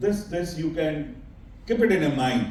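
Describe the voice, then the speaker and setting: A man with a fairly high pitch and lively intonation at a moderate pace, amid audible room echo and noticeable background noise. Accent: Indian. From India. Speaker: conference speaker, company chairman. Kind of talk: conference presentation. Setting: stage at an expo conference. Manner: halting, self-correcting.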